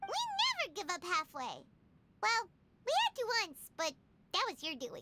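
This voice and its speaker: A squeaky, extremely high-pitched put-on character voice moves at a moderate pace with long, frequent pauses. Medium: video game. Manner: excitable.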